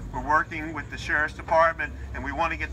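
A man speaks while noticeable background noise is heard. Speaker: county politician. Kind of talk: public speech. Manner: loud. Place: street.

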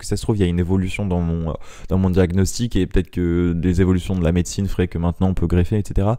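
A man talks at a very fast pace. His pitch is very deep and low, with a dark, mellow tone. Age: 20s. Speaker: podcaster. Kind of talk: casual monologue. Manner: halting.

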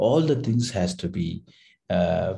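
A man with a dark, mellow, somewhat breathy tone, lively intonation and a fairly slow pace. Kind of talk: lecture. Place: home room.

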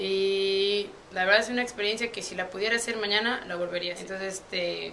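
Light background noise accompanies a woman of medium pitch who talks at a fairly quick pace with fairly even intonation. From Puebla, Mexico. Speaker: university student athlete. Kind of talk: interview answer. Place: office.

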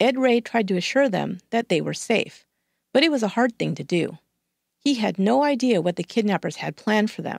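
A woman's fairly high voice with vocal fry and lively intonation at a moderate pace, dry and close with no echo, on a very clean recording with a silent background. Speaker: true crime podcast host. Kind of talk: scripted true-crime narration. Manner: measured, steady storyteller.

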